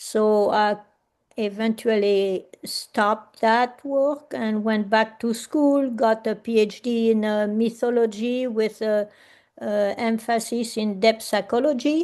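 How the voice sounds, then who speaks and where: In a French accent, a woman with a fairly high voice talks at a very slow pace and fairly even intonation over a quiet background. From France. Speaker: artist and workshop facilitator. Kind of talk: presentation talk. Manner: hesitant, many fillers.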